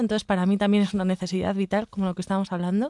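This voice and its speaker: Recorded with a dry, close sound and no echo over a quiet background, a woman speaks in a monotone, flat intonation. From Basque Country, Spain. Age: 30s. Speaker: real estate investment director and painter. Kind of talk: casual interview.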